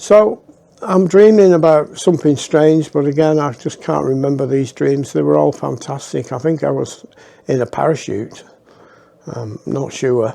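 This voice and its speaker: In a Lancashire accent, a man speaks in a dark, mellow tone with ordinary pitch variation. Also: fairly high pitch for a man, moderate pace. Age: 60s. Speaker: storyteller. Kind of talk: personal storytelling. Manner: casual, halting with fillers.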